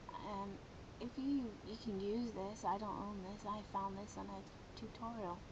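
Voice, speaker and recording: A quiet woman speaks at a fairly slow pace with medium pitch and fairly even intonation. Noticeable background noise runs underneath. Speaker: software tutorial maker. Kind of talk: screen-recorded software tutorial. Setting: low-quality home microphone.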